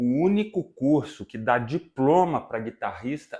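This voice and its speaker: The recording is very clean with a silent background. A man speaks at a fairly slow pace with lively intonation. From Brazil, Minas Gerais (Viçosa). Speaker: musician and music teacher. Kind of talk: casual interview chat.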